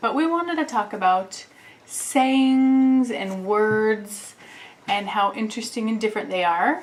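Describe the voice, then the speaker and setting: A woman with a plain, everyday voice and an American accent speaks at a fairly slow pace, her fairly high pitch carrying lively intonation. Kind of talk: casual talk to camera.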